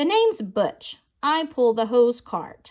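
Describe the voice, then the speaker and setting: In a put-on character voice, a woman speaks at a high pitch and a fairly slow pace. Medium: read story.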